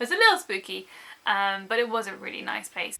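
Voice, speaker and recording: A woman talks at a moderate pace in a British accent. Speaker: book vlogger. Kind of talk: casual vlog.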